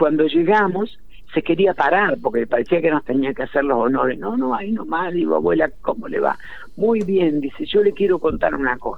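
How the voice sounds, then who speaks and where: A man speaks with a Rioplatense accent and a high pitch. His intonation is lively. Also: moderate pace. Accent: Argentine Spanish (rioplatense). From Argentina, Entre Ríos countryside. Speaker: historian and writer. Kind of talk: interview.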